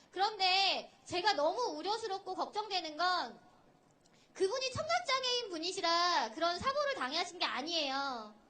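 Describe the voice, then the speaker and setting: At a fairly slow pace, a woman projects a raised voice of extremely high pitch with a bright, sharp tone, very wide pitch swings and very even loudness, with audible room echo. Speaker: sign language interpreter. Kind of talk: rally speech. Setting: outdoor rally stage with crowd.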